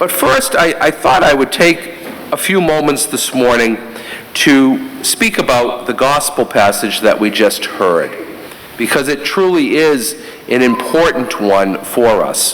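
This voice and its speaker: A man with a Boston accent speaks at a fairly slow pace in a fairly high pitch, his intonation lively. Noticeable background noise and audible room echo fill the recording. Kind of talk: homily. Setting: church during Mass.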